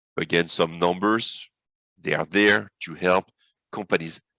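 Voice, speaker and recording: A man with a French accent speaks at a moderate pace in a bright, sharp tone, with a dry, close sound with no echo and a quiet background. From France. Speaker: business consultant. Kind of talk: webinar presentation.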